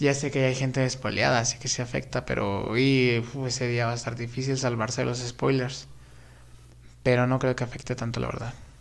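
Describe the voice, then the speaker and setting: At a fairly quick pace, a man talks with monotone, flat intonation. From Mexico. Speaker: YouTuber film commentator; film news youtuber. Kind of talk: live stream chat about films; casual commentary. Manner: casual, with many fillers. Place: home room.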